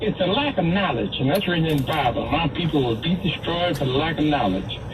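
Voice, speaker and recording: There is audible room echo and noticeable background noise as a man speaks with lively intonation. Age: 80s+. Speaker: caller. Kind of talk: call-in radio talk.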